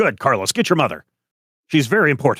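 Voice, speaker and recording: Putting on a character voice, a man rattles along at a very fast pace and fairly high pitch. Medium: actual play.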